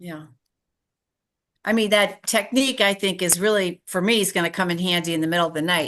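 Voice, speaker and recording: Talking at a fairly quick pace with long, frequent pauses and ordinary pitch variation, the voice comes over a quiet background. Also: woman, medium pitch for a woman. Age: 60s. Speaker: audience member. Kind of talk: question in a Q&A.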